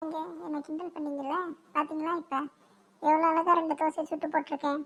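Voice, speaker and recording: Putting on a whiny character voice, a woman speaks at a high pitch and moderate pace with monotone, flat intonation. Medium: cartoon. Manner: drawn-out, whining speech.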